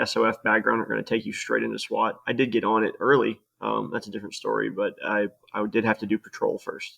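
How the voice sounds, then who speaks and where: A man speaks at a fairly quick pace with a Southern US accent. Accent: mild southern. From US South, Louisiana. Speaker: former SWAT officer, firearms trainer. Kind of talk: casual chat.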